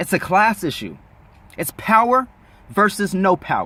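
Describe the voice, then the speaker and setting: This man's voice has an animated tone that sounds bright and sharp. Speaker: YouTube commentator. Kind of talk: opinion rant.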